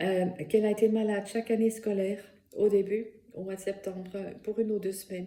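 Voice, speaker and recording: A woman with a Dutch accent speaks at a medium pitch and moderate pace, her intonation monotone and flat. Her tone is dark and mellow, and somewhat breathy. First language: Dutch (speaking French). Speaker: therapist and workshop instructor. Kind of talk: personal testimony and presentation. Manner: hesitant, many fillers.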